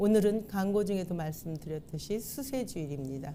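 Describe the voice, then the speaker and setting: A woman of medium pitch and a dark, mellow tone speaks with lively intonation amid audible room echo. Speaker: pastor. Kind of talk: sermon. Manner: formal.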